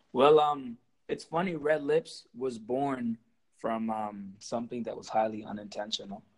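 This man has a normal speaking voice, medium in pitch with ordinary pitch variation. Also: fairly slow pace. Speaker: musician. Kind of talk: casual chat.

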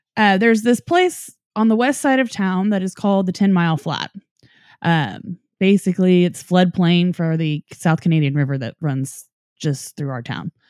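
In an unremarkable speaking voice, a woman with an American accent talks at a moderate pace and medium pitch with lively intonation, the sound dry and close with no echo on a very clean recording with a silent background. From Norman, Oklahoma. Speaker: paranormal podcaster. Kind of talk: storytelling; casual chat.

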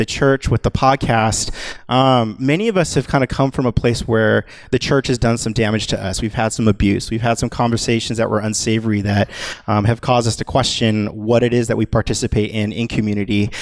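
A man's medium-pitched voice at a fairly quick pace with fairly even intonation. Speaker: church creative director giving announcements. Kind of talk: casual, conversational. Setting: stage, church service. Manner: fast talker.

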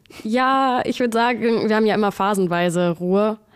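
At a moderate pace, a woman speaks in an unremarkable speaking voice with ordinary pitch variation, captured on a very clean recording with a silent background. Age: 20s. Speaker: air traffic controller. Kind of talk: casual interview chat.

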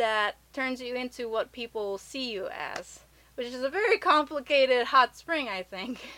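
A woman with an American accent speaks at a fairly slow pace in a high, raised and projected voice with a bright, sharp tone. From Japan and US. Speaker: podcast host. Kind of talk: casual chat.

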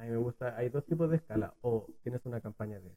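A man speaks at a moderate pace in a medium pitch with a Chilean accent, his somewhat breathy voice dark and mellow in tone, the sound dry and close with no echo. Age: 20s. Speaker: entrepreneur. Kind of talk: podcast interview.

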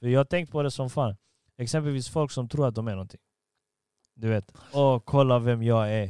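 The recording is very clean, with a silent background and a dry, close sound with no echo, as a man speaks at a moderate pace. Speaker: podcast host. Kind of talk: casual chat. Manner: talkative.

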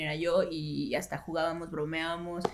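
A woman is speaking. She has a Mexican accent. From Mexico. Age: 30s. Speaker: radio announcer. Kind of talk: casual chat.

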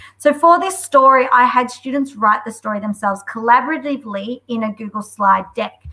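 With an Australian accent, a woman speaks at a high pitch and a fairly quick pace with hardly any pauses. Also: ordinary pitch variation. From Australia, Melbourne. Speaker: school deputy head and edtech community leader. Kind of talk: webinar software demo. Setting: video call. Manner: enthusiastic.

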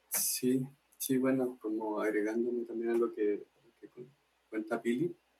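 Speaking at a medium pitch and a fairly slow pace, a man uses fairly even intonation with long, frequent pauses. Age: 20s. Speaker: arts cooperative member. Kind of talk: casual interview.

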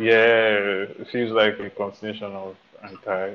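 A man with a Nigerian accent, fairly low-pitched, at a fairly slow pace, in a flat monotone. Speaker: music podcast co-host. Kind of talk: casual chat.

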